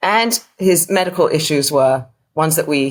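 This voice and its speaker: In an English accent, a woman speaks with a very deep, low voice. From England. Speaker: author and burial preparation volunteer. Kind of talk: podcast interview, personal story.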